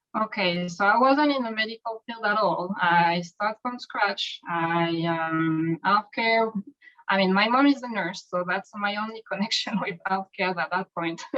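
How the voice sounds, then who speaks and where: A woman speaks with a French accent. Her pace is fairly slow. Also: medium pitch for a woman, ordinary pitch variation. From France. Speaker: medical coder. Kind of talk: interview.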